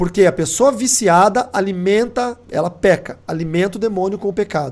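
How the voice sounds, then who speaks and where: Using ordinary pitch variation, a man speaks at a high pitch. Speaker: pastor. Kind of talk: sermon.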